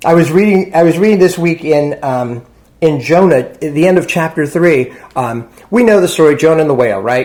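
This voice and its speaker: A man's fairly high pitch in a normal speaking voice, with lively intonation at a fairly quick pace. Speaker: parson, church and sangha leader. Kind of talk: dharma talk / sermon. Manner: casual, conversational teaching style.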